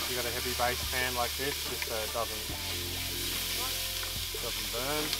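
Clear music plays in the background while the voice moves at a moderate pace, the sound dry with no echo. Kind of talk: tutorial. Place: open country.

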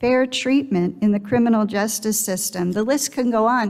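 Against a quiet background, a woman speaks at a fairly slow pace with fairly even intonation. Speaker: speaker. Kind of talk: sermon. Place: church. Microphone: headset.

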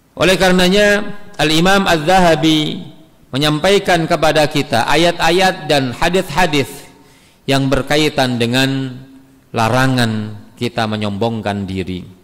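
Against a quiet background, a man with a fairly high pitch talks at a fairly slow pace. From Indonesia. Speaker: Islamic preacher. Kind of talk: religious study lecture. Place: church. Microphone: podium.

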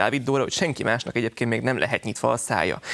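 Very fast speech from a man, the intonation fairly even. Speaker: journalist. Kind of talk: panel discussion. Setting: studio. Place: studio. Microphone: lapel.

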